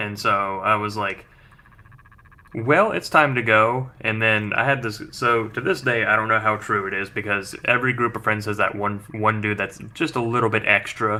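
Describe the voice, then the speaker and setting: The man talks at a moderate pace in a fairly low pitch. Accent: American. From West Virginia. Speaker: podcast co-host. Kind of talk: casual chat. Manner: animated.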